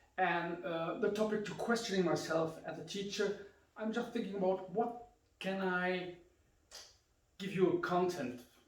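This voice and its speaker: Amid noticeable background noise and audible room echo, a man with a high pitch and ordinary pitch variation speaks at a fairly slow pace, with long, frequent pauses. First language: German. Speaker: karate instructor. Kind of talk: instructional talk.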